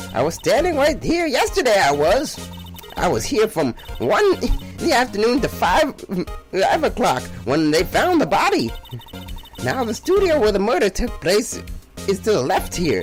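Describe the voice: A man in a put-on character voice, high-pitched, at a moderate pace with very even loudness and clear music in the background.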